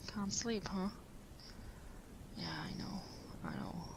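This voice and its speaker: A woman whispers at a fairly slow pace. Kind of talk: audio roleplay. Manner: soft-spoken, intimate.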